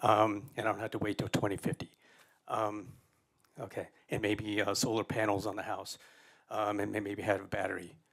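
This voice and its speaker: With an American accent, a man talks at a fairly quick pace in a fairly low pitch. His intonation is monotone and flat, broken by long, frequent pauses. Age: 60s. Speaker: public commenter, landlord. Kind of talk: public comment at council meeting. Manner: halting, many fillers.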